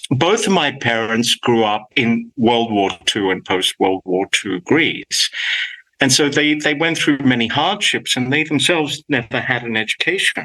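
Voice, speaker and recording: A man's medium-pitched voice with an Australian accent, lively intonation, and a fairly slow pace, in a dry, close sound with no echo. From Australia, Sydney. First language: Greek. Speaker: professor. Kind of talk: interview. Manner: halting.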